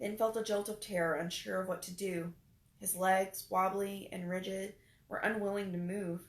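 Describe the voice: Here we have plain reading aloud.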